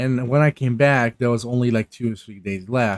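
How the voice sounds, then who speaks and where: At a fairly slow pace, a man speaks in a medium pitch, the sound dry and close with no echo. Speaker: gaming YouTuber. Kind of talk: casual update talk. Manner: halting, many fillers and restarts.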